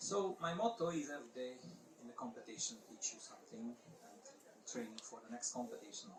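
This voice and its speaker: With a Hungarian accent, a man speaks at a fairly quick pace and a fairly high pitch, his voice making very wide pitch swings and big swings in loudness over noticeable background noise. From Hungary. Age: 50s. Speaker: paragliding competition pilot and organizer. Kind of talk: presentation talk. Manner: halting.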